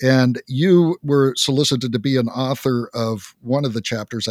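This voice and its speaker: A man talks at a medium pitch with ordinary pitch variation, in an ordinary speaking voice. The sound is dry and close, with no echo. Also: very clean recording, silent background. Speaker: podcast host. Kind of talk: interview.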